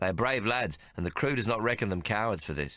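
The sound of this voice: Lively intonation runs through this clip. It is an unforced reading voice throughout.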